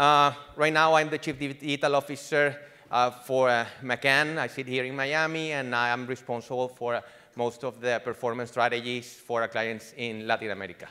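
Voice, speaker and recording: This man's tone is bright and sharp, pitched in the middle of his range. He keeps to a moderate pace. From Venezuela. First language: Spanish. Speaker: digital marketing executive. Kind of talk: conference presentation. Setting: conference stage with audience. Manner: halting, many fillers and restarts.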